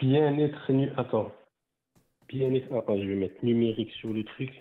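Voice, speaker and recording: At a fairly slow pace, a man of medium pitch speaks with a strong northern French accent and ordinary pitch variation. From northern France (Nord). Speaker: caller, ride-hail driver. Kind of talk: casual chat. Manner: halting.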